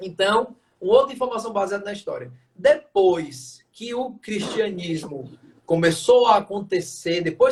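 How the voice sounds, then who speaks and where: At a moderate pace, a man is talking. His pitch is high, with ordinary pitch variation. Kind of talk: lecture. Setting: live stream.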